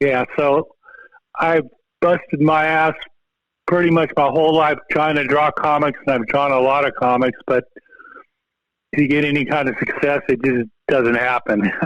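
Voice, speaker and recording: This man's voice sits fairly high, and he talks at a moderate pace. He leaves long, frequent pauses, keeping his intonation fairly even and his loudness very even. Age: 60s. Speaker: comic book artist and biologist. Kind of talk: casual podcast interview. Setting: phone call.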